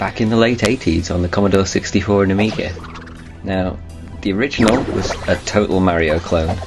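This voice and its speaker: Music plays in the background as a man talks at a fairly quick pace. His pitch shows ordinary variation. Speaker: game reviewer. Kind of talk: video game review narration. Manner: casual, conversational.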